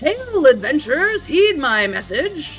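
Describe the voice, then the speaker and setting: A put-on character voice, high-pitched with very wide pitch swings at a fairly slow pace, over clear music in the background. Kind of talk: archaic, formal. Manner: loud, proclaiming, urgent.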